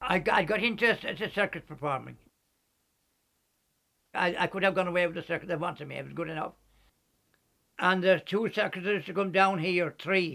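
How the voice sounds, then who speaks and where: A man with a Kerry accent speaks at a fairly quick pace in a high pitch, with fairly even intonation and long, frequent pauses. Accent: Kerry Irish. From County Kerry, Ireland. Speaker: former cyclist, acrobat and ventriloquist. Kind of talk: documentary interview answer. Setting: at home. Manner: hesitant, repetitive.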